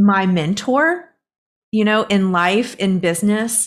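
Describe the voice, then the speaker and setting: A woman with a plain, everyday voice speaks at a fairly slow pace in a medium pitch with ordinary pitch variation, on a very clean recording with a silent background. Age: 40s. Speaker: inner voice coach and professional musician. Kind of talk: casual interview.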